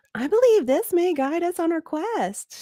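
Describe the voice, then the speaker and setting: A woman's put-on character voice, gentle in tone and extremely high in pitch, at a moderate pace. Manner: gentle, sweet, storytelling.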